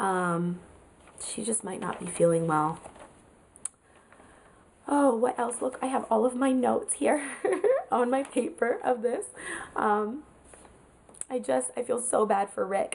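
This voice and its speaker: Against noticeable background noise, a woman with a fairly high pitch speaks slowly with lively intonation and long, frequent pauses. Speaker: TV show reviewer. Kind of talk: casual talk to camera.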